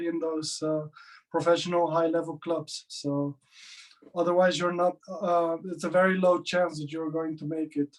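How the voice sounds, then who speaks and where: A man with a non-native accent, high-pitched and flat, monotone in intonation. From Netherlands. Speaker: powerlifter. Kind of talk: interview. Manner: halting.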